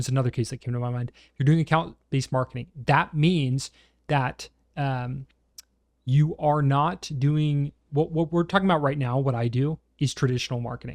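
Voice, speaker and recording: In a very clean recording with a silent background and a dry, close sound with no echo, a man with a plain, everyday voice talks at a moderate pace with a fairly high pitch, fairly even intonation and big swings in loudness. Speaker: CRM consultant. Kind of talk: software tutorial. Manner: casual, conversational.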